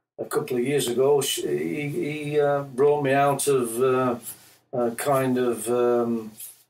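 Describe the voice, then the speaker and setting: With fairly even intonation, a man speaks at a medium pitch. His pace is fairly slow, and audible room echo can be heard. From Yorkshire, England. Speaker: musician. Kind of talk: interview. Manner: halting.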